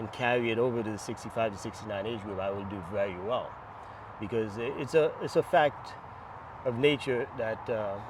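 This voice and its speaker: With an unremarkable speaking voice, a man of medium pitch talks at a fairly quick pace with ordinary pitch variation. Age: 60s. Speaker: masters marathon runner. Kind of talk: interview.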